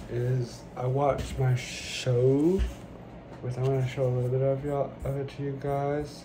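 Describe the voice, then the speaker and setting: Over noticeable background noise, a man speaks at a fairly slow pace in a monotone, flat intonation. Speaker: vlogger. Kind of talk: casual vlog chat. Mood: dramatic complaining about burning.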